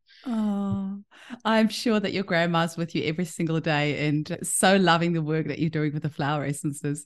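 A woman speaks in an enthusiastic tone at a moderate pace. The background is quiet. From South Africa. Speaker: podcast host, homeopath. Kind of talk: interview. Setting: video call.

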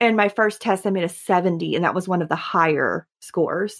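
With a Southern US accent, a woman speaks with ordinary pitch variation in a dry, close sound with no echo. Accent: southern drawl. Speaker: podcast guest, veterinary client service representative.

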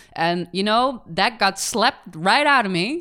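The recording is very clean, and the background is silent. A woman does the talking. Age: 20s. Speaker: podcast co-host. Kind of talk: casual chat. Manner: animated.

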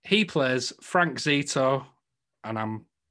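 A man with a northern English accent, a bright, sharp tone and ordinary pitch variation, over a quiet background. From northern England. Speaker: podcast host. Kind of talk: casual chat.

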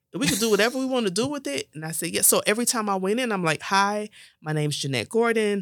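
A very fast woman's voice with an American accent, medium in pitch, lively in intonation, in a very clean recording with a silent background. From South Florida (West Palm Beach), Jamaican-born family. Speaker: social services director. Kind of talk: interview.

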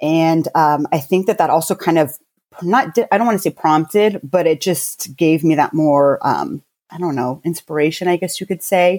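In a normal speaking voice with an American accent, a woman speaks at a fairly low pitch with ordinary variation and a moderate pace, on a very clean, dry, close recording with a silent background and no echo. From US, military family (Army brat). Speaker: beauty company founder. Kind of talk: casual interview.

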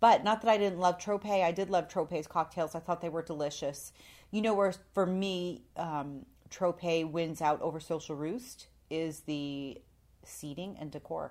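At a fairly slow pace, a woman speaks with a fairly low pitch and ordinary pitch variation. The recording is very clean, with a silent background. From Canada. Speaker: podcast co-host. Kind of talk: casual chat. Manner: animated.

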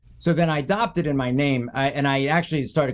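In an American accent, a man with a normal speaking voice and fairly high pitch talks at a fairly quick pace. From US, raised partly in South Florida (Boca Raton). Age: 50s. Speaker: jiu-jitsu practitioner and dancer. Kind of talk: casual interview chat.

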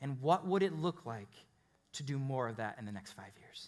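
A man with an American accent speaks in a plain, everyday voice. He talks fairly quickly with lively intonation. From Chicago, US Midwest. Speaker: pastor. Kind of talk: sermon. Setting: church with live congregation.

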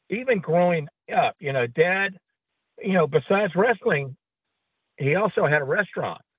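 With a Southern US accent, a man speaks in a high-pitched voice. He takes long, frequent pauses. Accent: Southern US drawl. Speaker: wrestling announcer. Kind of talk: casual interview chat. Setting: phone call.

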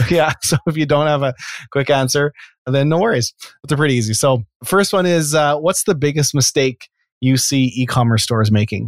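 An unremarkable speaking voice from a man with a Canadian accent, fairly high in pitch, with ordinary pitch variation at a moderate pace. The sound is dry and close with no echo, on a very clean recording with a silent background. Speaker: podcast host. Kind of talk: interview, casual conversation.

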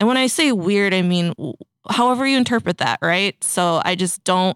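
A woman with an American accent uses an ordinary speaking voice at a medium pitch, with ordinary pitch variation and a fairly quick pace. The sound is dry and close with no echo. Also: very clean recording, silent background. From northern Minnesota, US. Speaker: fashion event co-founder and marketing agency CEO, artist. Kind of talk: casual interview chat. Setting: studio.

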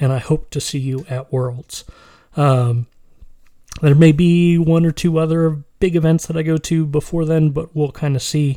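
This man has a dark, mellow tone and a fairly high pitch. He keeps fairly even intonation at a moderate pace. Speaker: solo podcast host on tabletop gaming. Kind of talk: casual solo podcast monologue. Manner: hesitant, many fillers.

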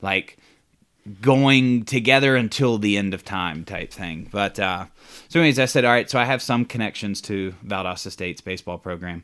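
A man with an American accent speaks at a moderate pace and a fairly low pitch, with ordinary pitch variation and a normal speaking voice. The recording is very clean, with a silent background. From US South, Georgia (Atlanta). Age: 30s. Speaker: podcast guest. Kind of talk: casual chat.

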